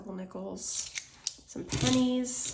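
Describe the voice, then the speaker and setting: Noticeable background noise and audible room echo both surround a woman as she talks. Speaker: budgeting youtuber. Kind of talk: casual tutorial. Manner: conversational, many fillers.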